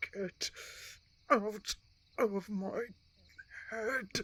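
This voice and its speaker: Someone uses a put-on character voice with a fairly high pitch. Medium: audio drama. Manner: protective, defiant.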